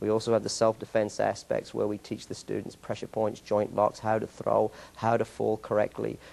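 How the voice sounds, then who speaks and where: A man speaks with an English accent at a moderate pace. He leaves hardly any pauses. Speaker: martial arts school owner and instructor. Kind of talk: interview. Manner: halting.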